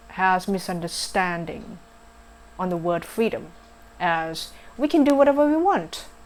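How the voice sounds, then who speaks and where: A woman's medium-pitched voice with a non-native accent, lively intonation and a fairly slow pace. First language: not English. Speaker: vlogger. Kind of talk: casual vlog talk. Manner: halting, many fillers.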